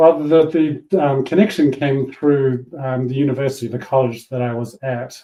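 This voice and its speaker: Man with a New Zealand accent, medium pitch and fairly even intonation, at a fairly slow pace with hardly any pauses. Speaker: business coach and former yacht racer. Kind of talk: interview.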